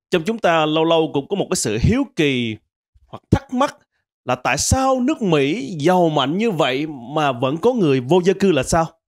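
With very wide swings in pitch, a man talks over a quiet background. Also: moderate pace. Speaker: comedian. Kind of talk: stand-up comedy monologue. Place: studio. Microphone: handheld.

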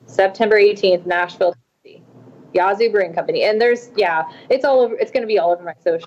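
A woman's ordinary speaking voice with an American accent. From Tulsa, Oklahoma; Oklahoma. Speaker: singer-songwriter; guest. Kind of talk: casual interview. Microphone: video call.

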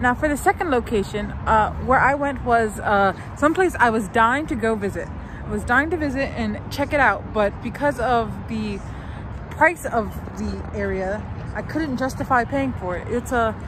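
The woman's voice has a dry sound with no echo, set against noticeable background noise. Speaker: vlogger. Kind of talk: casual vlog chat. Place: street. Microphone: phone near.

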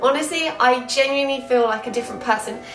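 A woman speaks very fast in a high pitch, with ordinary pitch variation. Room echo is audible, and music plays clearly in the background. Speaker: lifestyle vlogger. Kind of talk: casual vlog chat. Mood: warm, upbeat, reflective. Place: home room.

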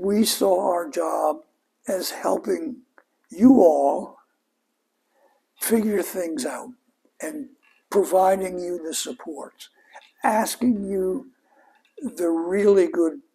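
A man's very slow speech with long, frequent pauses and big swings in loudness. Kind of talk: interview answer. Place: home room. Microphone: lapel.

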